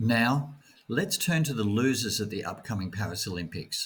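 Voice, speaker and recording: An Australian accent marks this man's medium-pitched, somewhat breathy voice. He talks at a moderate pace with lively intonation. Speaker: jet lag consultant. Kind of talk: scripted narration.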